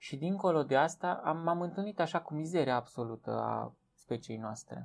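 A man speaks with an unremarkable speaking voice at a fairly slow pace, his intonation lively. The recording is very clean, with a silent background. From Romania, Transylvania (village of Viștea). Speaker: biologist, teacher and author. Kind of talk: interview.

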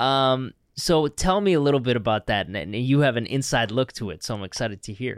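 In a very clean recording with a silent background and a dry, close sound with no echo, a man with a plain, everyday voice talks at a fairly quick pace, his medium pitch carried by lively intonation. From Canada. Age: 30s. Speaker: podcast co-host. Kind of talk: interview.

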